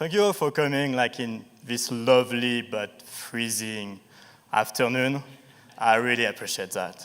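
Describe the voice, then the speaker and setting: A man speaks at a fairly slow pace in a French accent. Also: medium pitch for a man, ordinary pitch variation. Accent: sharp French. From France, Paris. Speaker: startup founder. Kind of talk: pitch presentation. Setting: stage with audience.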